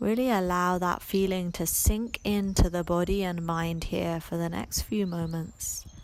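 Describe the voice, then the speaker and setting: A woman with a normal speaking voice talks at a fairly slow pace and fairly low pitch, with fairly even intonation and hardly any pauses. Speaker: yoga and meditation teacher. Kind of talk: guided meditation. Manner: slow, calm, soothing, with long pauses.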